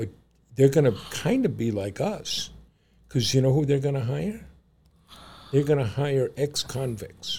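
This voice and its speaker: A man with a dark, mellow tone and a fairly high, somewhat breathy voice speaks at a moderate pace with lively intonation and long, frequent pauses. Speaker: podcast co-host. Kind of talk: casual chat.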